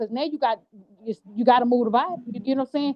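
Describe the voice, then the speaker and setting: A woman with a high pitch and ordinary pitch variation speaks in an animated tone. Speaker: true crime commentary host. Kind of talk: casual commentary discussion. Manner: fast.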